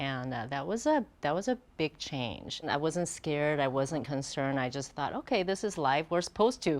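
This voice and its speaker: A woman's very deep, low voice at a moderate pace, lively in intonation and with hardly any pauses, over a quiet background. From Taiwan, moved to Bellevue at ten. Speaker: fashion designer. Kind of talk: interview.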